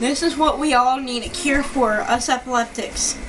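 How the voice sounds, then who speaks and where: Noticeable background noise runs behind a woman's high-pitched voice. She talks at a very slow pace with ordinary pitch variation. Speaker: video diarist living with epilepsy. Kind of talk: personal video diary. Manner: shaky, halting.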